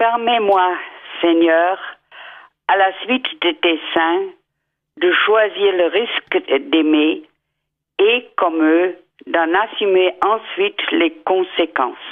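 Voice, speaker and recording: Speaking at a very slow pace, a woman with a medium-pitched voice uses lively intonation, keeps her loudness very even and stops often for long pauses. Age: 80s+. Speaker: caller. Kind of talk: prayer read aloud.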